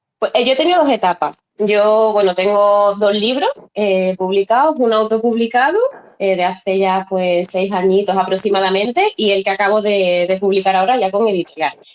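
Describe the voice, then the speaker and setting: In an ordinary speaking voice of medium pitch, a woman talks at a moderate pace with ordinary pitch variation and very even loudness. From Spain, Seville. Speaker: novelist. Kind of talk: interview.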